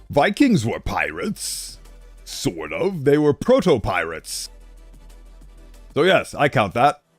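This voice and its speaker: With music playing behind him, a man speaks very slowly, leaving long, frequent pauses. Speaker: vtuber. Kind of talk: casual live-stream talk to chat.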